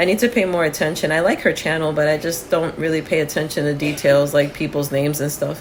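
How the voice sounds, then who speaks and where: A woman with an American accent, very deep and low in pitch, at a very fast pace with hardly any pauses and fairly even intonation, over noticeable background noise. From New Jersey (Union City, near Manhattan). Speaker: podcast co-host. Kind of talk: casual chat.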